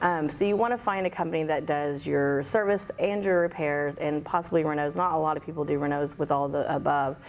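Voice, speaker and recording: With hardly any pauses, a woman talks at a fairly quick pace in a very deep, low pitch with ordinary pitch variation. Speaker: pool business owner. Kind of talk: podcast interview. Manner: loud, outspoken.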